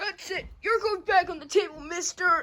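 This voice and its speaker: An extremely high-pitched cartoonish character voice moves along at a moderate pace. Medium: puppet show. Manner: excitable, exclamatory.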